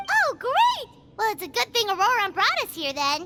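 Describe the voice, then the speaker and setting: An extremely high, squeaky put-on character voice at a moderate pace, with faint music in the background. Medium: machinima. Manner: curious, eager.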